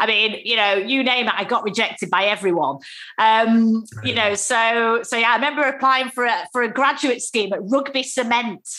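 Speaking at a moderate pace in a Manchester accent, a woman has a bright, sharp tone and a fairly high pitch. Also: ordinary pitch variation, very even loudness. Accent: Mancunian, northern English. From Manchester, northern England. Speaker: former travel CEO turned entrepreneur. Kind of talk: casual interview conversation. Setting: video call (Zoom). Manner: lively, down to earth.

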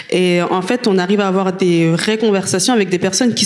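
Amid noticeable background noise, a woman at a medium pitch speaks at a fairly quick pace with fairly even intonation. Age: 20s. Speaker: activist, association president. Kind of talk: panel discussion.

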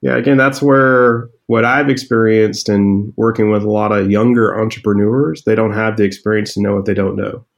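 A man speaks at a moderate pace in a normal speaking voice. His pitch sits fairly low, and his intonation stays fairly even. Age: 40s. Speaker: startup founder and CEO. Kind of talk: interview.

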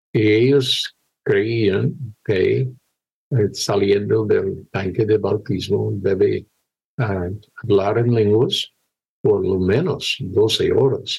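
Speech comes very slowly. The voice belongs to a man. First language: English (speaking Spanish). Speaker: missionary pastor. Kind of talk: testimony. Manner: halting.

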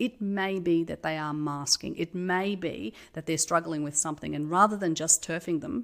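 A woman speaks at a moderate pace in a fairly low pitch, on a very clean recording with a silent background. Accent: Australian. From Australia. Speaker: tech company CEO. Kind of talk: casual interview.

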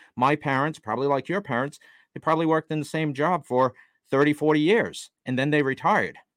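A man with an American accent speaks at a fairly quick pace in a plain, everyday voice, his fairly high pitch moving with ordinary variation. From US. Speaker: real estate investor and author. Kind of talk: interview.

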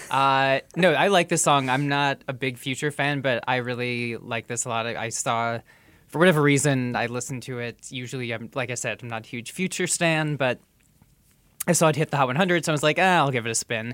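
A man uses a normal speaking voice at medium pitch with ordinary pitch variation. He talks at a fairly quick pace. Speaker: podcast host. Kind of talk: casual chat. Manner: conversational, jokey.

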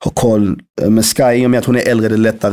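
This male speaker moves fairly quickly, with a dark, mellow tone. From Sweden, Malmö. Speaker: rapper. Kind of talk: casual interview.

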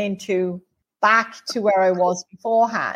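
Delivered at a fairly slow pace, the speech has ordinary pitch variation. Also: woman. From England. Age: 60s. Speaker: spiritual healer and medium. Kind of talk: interview.

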